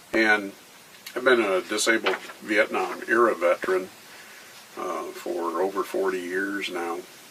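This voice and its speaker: Noticeable background noise sits behind a man speaking at a fairly slow pace. He leaves long, frequent pauses. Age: 60s. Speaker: war veteran. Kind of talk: interview. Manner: halting, many fillers.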